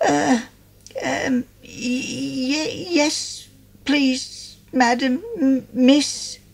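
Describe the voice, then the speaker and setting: This is a put-on character voice pitched high. It moves at a very slow pace. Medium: read story. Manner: stammering, shy.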